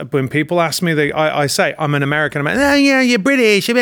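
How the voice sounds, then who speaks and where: Lively intonation with an English accent in a very clean recording against a silent background. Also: man. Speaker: actor and producer. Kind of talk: casual political chat. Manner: halting.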